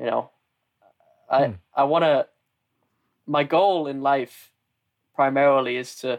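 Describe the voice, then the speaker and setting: In a northern English accent, a man with a fairly high voice talks at a fairly slow pace with fairly even intonation and long, frequent pauses, the sound dry and close with no echo. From northern England. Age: 20s. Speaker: marketer and aspiring comedian. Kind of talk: casual interview conversation.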